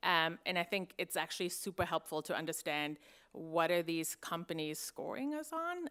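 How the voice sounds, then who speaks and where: On a very clean recording with a silent background, a woman with a German accent speaks at a fairly low pitch in a bright, sharp tone with fairly even intonation. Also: moderate pace. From Germany. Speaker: investigative journalist. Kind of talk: conference panel talk.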